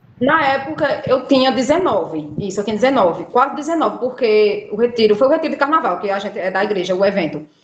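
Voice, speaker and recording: A woman talks at a very fast pace with hardly any pauses, her fairly high voice making very wide pitch swings against noticeable background noise. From Brazil, Alagoas (Northeast). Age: 20s. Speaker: patient sharing illness story. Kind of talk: interview testimony.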